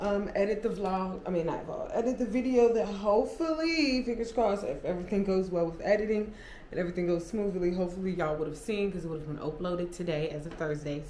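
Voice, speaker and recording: With hardly any pauses, a woman talks very fast amid audible room echo and light background noise. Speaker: vlogger. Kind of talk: casual vlog chat. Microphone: camera far.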